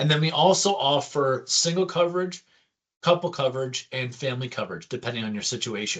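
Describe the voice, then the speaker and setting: This man's voice is fairly high and somewhat breathy. He moves at a fairly quick pace with ordinary pitch variation. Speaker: insurance benefits advisor. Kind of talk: product presentation. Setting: screen-share video presentation. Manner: fast.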